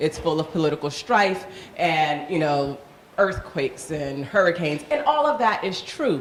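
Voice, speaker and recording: Her pitch swinging very widely, a woman speaks in a Haitian accent over noticeable background noise. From Miami, Florida (Haitian household). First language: Haitian Creole. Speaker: panel moderator. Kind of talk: panel discussion.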